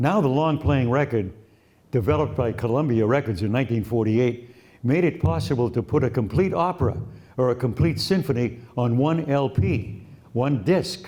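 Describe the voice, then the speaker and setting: A man speaks with a dark, mellow tone, somewhat breathy, with lively intonation and very even loudness. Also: medium pitch for a man, moderate pace. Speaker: radio broadcaster. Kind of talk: interview answer.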